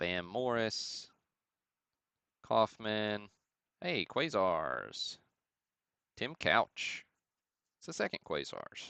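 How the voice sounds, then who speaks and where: In a Southern US accent, a man speaks at a very slow pace with long, frequent pauses, in a dry, close sound with no echo and a quiet background. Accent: southern drawl. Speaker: sports card breaker and livestream host. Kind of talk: live card break commentary. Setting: livestream. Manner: casual, chatty.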